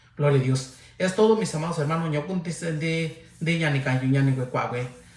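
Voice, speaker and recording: Audible room echo colors the fairly high-pitched voice of a man. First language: Mixtec (speaking Spanish). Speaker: lay preacher. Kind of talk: livestream sermon closing. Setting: livestream. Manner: halting.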